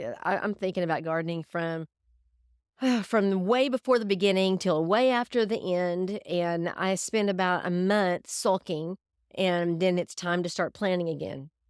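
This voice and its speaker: In a Southern US accent, a woman speaks at a fairly slow pace. The very clean recording has a silent background and a dry, close sound with no echo. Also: medium pitch for a woman, ordinary pitch variation. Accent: Southern US drawl. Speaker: homesteader, podcast host. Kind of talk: podcast monologue. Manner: casual, straightforward, humorous.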